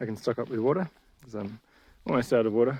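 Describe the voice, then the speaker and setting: Lively intonation at a fairly quick pace. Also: man. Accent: Australian. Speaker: hiking vlogger. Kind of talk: casual vlog narration. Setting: outdoors.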